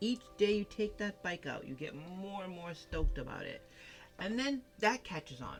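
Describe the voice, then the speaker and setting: A woman speaks with an American accent and lively intonation. Music plays in the background. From Massachusetts, New England. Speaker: tarot card reader. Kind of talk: tarot reading. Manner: animated.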